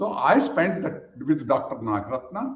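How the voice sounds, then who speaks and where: Lively intonation in a somewhat breathy male voice. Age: 80s+. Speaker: yoga teacher. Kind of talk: webinar presentation. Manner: halting, repeats words.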